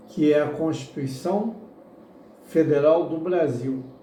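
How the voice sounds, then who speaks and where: Against noticeable background noise and audible room echo, a man talks at a fairly slow pace with ordinary pitch variation. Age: 60s. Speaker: political candidate. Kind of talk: interview answers. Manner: halting.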